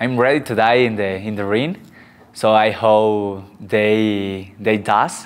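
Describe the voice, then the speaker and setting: Very slow in pace, a man speaks at a fairly low pitch with fairly even intonation. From Mazatlán, Sinaloa, Mexico; Sinaloa, Mexico. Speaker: boxer. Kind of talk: interview. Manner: halting in English. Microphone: lapel.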